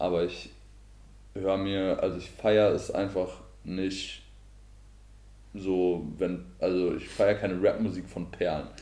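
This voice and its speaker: A man speaks at a fairly slow pace with long, frequent pauses. Audible room echo can be heard. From Hesse, Germany (Marburg). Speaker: podcast co-host. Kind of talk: casual chat.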